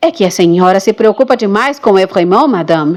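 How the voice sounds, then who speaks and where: Putting on a croaky character voice at medium pitch, a woman moves at a fairly quick pace with lively intonation and very even loudness. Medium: read story.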